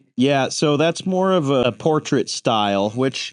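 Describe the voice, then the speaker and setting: With an American accent, the speaker goes at a very slow pace against a quiet background. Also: man. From western Kansas. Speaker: tattoo artist. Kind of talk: casual interview.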